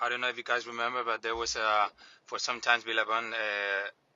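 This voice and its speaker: A man's medium-pitched voice in a Spanish accent, with monotone, flat intonation. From Canary Islands, Spain. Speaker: listener caller. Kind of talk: recorded voice message.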